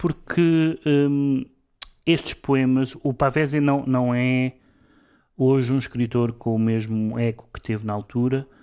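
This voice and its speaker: In a quiet background, a man of medium pitch speaks very slowly with ordinary pitch variation. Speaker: radio co-host and literary critic. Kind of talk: casual cultural discussion. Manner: halting, many repetitions.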